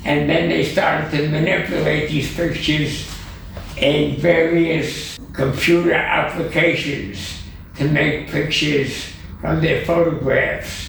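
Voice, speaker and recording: A man with a fairly high voice speaks very slowly and with fairly even intonation over noticeable background noise. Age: 80s+. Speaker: computer artist. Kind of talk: interview answer.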